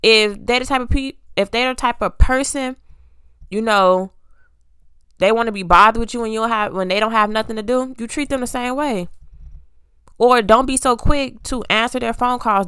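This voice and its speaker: Heard in a very clean recording with a silent background, a woman talks at a moderate pace with long, frequent pauses. Her fairly high voice has a bright, sharp tone and fairly even intonation. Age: 20s. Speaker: solo podcast host. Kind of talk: casual monologue.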